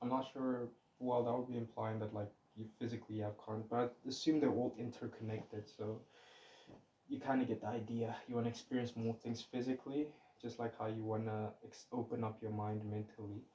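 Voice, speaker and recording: The voice moves at a fairly quick pace with monotone, flat intonation. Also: man, medium pitch for a man. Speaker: vlogger. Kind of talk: casual monologue. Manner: stuttering, loose phrasing.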